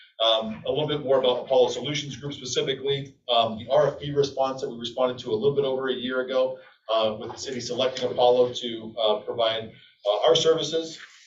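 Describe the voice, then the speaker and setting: A man talks at a very fast pace in a medium pitch. His intonation is fairly even, and audible room echo surrounds him. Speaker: energy services contractor presenter. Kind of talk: business presentation to city council. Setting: city council meeting.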